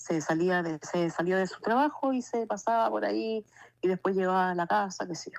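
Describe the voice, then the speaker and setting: A woman speaks at a moderate pace and medium pitch. Her pitch swings very widely. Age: 60s. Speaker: testimony giver. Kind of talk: testimony. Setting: phone call.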